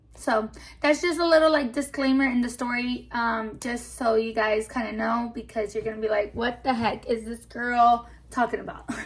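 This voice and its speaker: A woman with a high pitch in a Spanish accent. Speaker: YouTuber storyteller. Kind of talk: casual storytime chat. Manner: casual, hesitant with many fillers.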